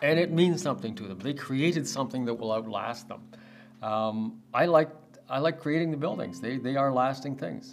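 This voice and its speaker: A man speaks at a moderate pace with a Canadian accent and a medium pitch. His intonation is lively. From Canada, Toronto. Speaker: real estate developer. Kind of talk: podcast interview. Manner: halting, many fillers.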